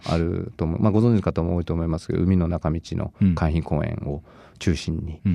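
This man has a very deep, low pitch and a dark, mellow tone, with fairly even intonation at a moderate pace. The sound is dry and close with no echo, over a quiet background. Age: 40s. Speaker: fitness studio owner and trainer. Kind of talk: interview.

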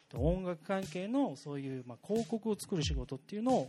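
Very wide pitch swings mark this man's speech, delivered at a fairly quick pace. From Japan, Gunma (Tatebayashi). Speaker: relocated business owner. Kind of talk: casual talk in front of an audience.

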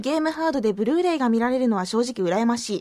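A woman speaks in a high voice. Her intonation is lively. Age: 20s. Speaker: radio DJ. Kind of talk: casual radio talk. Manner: animated.

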